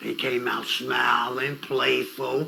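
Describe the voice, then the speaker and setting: Audible room echo and noticeable background noise surround this recording. A man speaks at a very slow pace. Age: 70s. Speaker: youth mentor, interview guest. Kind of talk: interview. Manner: conversational, storytelling.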